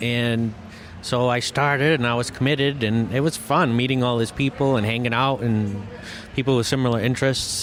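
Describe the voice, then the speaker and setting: Noticeable background noise is audible. Over it, a man speaks at a medium pitch. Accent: American. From Massachusetts. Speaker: electrician and car audio competitor. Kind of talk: interview.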